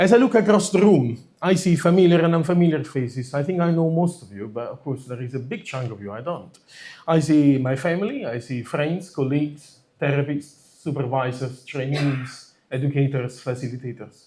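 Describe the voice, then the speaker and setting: Lively in intonation and with big swings in loudness, a man with a dark, mellow, somewhat breathy tone speaks at a moderate pace and a fairly high pitch. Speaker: psychotherapist and conference organiser. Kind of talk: conference opening speech. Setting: stage with audience.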